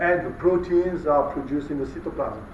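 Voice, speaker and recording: A man speaks at a fairly quick pace with a high pitch and fairly even intonation. Audible room echo and noticeable background noise fill the recording. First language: French. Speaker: molecular biology researcher, guest lecturer. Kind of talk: lecture. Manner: halting, many fillers.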